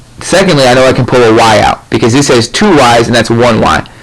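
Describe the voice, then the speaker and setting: A man speaks at a medium pitch and a fairly quick pace, with ordinary pitch variation and noticeable background noise. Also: very even loudness. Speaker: math tutor. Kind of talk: tutorial. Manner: fast.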